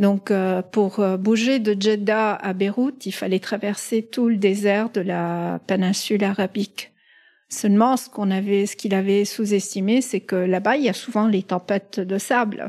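A woman at a medium pitch speaks fairly slowly with fairly even intonation. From Lebanon and the Middle East, Italian family. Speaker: pharmaceutical executive. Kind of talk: interview storytelling. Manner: hesitant, frequent fillers and repetitions.

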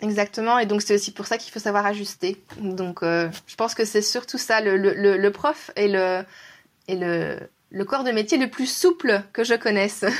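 A woman with a plain, everyday voice, medium pitch and ordinary pitch variation, on a very clean recording with a silent background. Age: 30s. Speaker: teacher and trainer. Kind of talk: interview.

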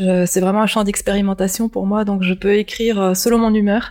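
At a moderate pace, a woman of medium pitch talks with monotone, flat intonation. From Japan, moved to France at 6 or 7. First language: Japanese (speaking French). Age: 50s. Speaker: science fiction author. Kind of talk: interview.

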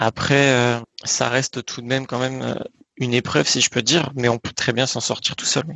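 A man's unremarkable speaking voice, medium in pitch, at a moderate pace with fairly even intonation. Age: 20s. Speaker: naturopath. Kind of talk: interview. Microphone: bad connection at times.

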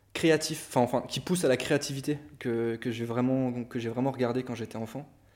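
A man with a medium pitch keeps his intonation fairly even. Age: 20s. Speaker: art director and photographer. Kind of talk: casual chat.

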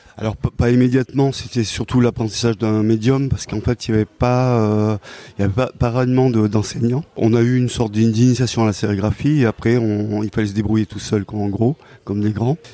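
A man with a dark, mellow tone, medium pitch, fairly even intonation, and fairly quick pace, in a dry, close sound with no echo. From rural Cantal, France. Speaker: comics author and illustrator. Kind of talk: interview. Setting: comics festival. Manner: hesitant, many repetitions.

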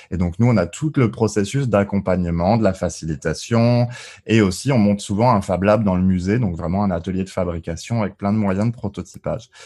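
A man with a dark, mellow tone and a fairly low pitch talks at a fairly quick pace with ordinary pitch variation, on a very clean recording with a silent background. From Alsace, France. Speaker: gamification consultant, engineer. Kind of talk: podcast interview.

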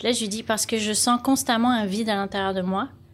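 A woman's fairly high-pitched, fairly quick delivery with fairly even intonation. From France, Lyon. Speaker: life coach. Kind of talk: casual interview.

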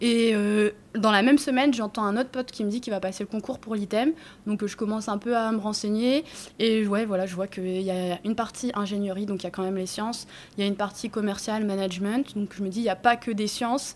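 Very fast, fairly high female speech with fairly even intonation. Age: 20s. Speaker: restaurant owner. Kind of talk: casual chat. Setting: in her restaurant. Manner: casual, hesitant with fillers.

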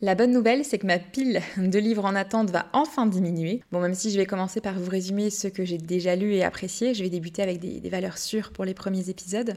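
A woman with an unremarkable speaking voice talks at a fairly quick pace and medium pitch, with hardly any pauses and ordinary pitch variation. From Brittany, France. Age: 20s. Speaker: podcast host. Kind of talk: scripted monologue.

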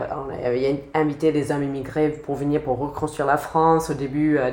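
A woman in an American accent, very deep and low in pitch, monotone and flat, at a moderate pace with audible room echo. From United States. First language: English (speaking French). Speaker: sociology PhD student. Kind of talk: interview.

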